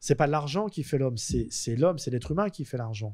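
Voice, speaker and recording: Against a quiet background, a man speaks in a fairly high, dark, mellow voice with lively intonation. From France. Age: 50s. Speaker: convicted fraudster; interview guest. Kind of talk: interview storytelling. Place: studio. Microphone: studio mic.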